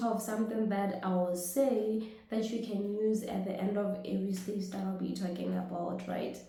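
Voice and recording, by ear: A woman speaks at a moderate pace with a dark, mellow tone and medium pitch. Her pitch varies in an ordinary way, and the room gives a strong echo.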